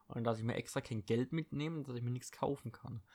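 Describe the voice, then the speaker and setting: Intonation holds fairly level. The words come out very fast. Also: man. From Baden-Württemberg, Germany (Eppingen, Heilbronn district). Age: 20s. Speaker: podcast host and fitness trainer. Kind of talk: casual solo monologue. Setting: at home. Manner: casual, filler-heavy.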